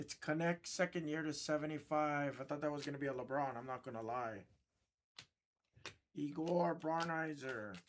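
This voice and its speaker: Someone with a Hawaiian accent speaks at a moderate pace, leaving long, frequent pauses. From Hawaii, Oahu. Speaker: sports card box breaker. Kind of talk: live stream card break commentary. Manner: animated.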